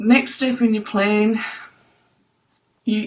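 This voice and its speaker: A woman speaks fairly slowly at a medium pitch. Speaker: trauma recovery coach. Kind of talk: live stream talk answering viewer comments.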